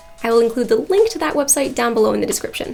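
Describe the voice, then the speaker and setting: Over noticeable background noise, a woman speaks with an American accent. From United States. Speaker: architect and educational YouTuber. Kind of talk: explainer tutorial.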